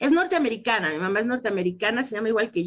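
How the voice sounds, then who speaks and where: The voice belongs to a woman and sits at a medium pitch. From Mexico. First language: English (speaking Spanish). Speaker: dental scientist. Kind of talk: radio interview.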